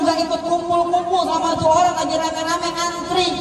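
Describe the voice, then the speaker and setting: A man talks at a moderate pace with an extremely high pitch and a slight Bekasi accent. His tone is animated, and audible room echo surrounds him. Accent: slight Bekasi dialect picked up. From Jakarta (Kedoya, Betawi area). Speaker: Islamic preacher. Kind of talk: sermon. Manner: animated storytelling.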